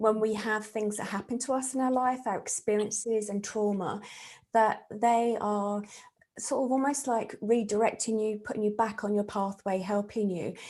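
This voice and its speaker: A woman with a southern English accent, fairly high pitch and fairly even intonation. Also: moderate pace. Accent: English (southern England). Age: 50s. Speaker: psychic medium and therapist. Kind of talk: interview conversation.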